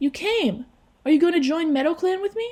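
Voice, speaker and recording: Squeaky and extremely high, a woman's put-on character voice moves at a fairly quick pace. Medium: read story.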